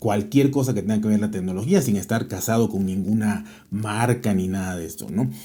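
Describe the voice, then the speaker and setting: Delivered at a fairly quick pace with ordinary pitch variation, the voice has a dark, mellow tone and audible room echo. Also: man, fairly low pitch for a man. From Mexico. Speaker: tech podcaster. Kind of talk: interview. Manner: hesitant, many fillers.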